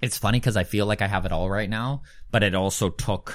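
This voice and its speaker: A man talks at a fairly quick pace. It is a very clean recording, the background silent. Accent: Canadian prairie. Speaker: comedian. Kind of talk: casual chat.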